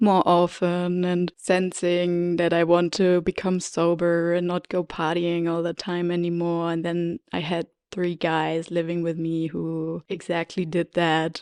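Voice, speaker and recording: A woman with a German accent speaks fairly slowly in a flat, monotone way, the sound dry and close with no echo. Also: very clean recording, silent background. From Germany. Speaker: podcast host. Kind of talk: personal storytelling podcast; guided meditation. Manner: hesitant, with fillers.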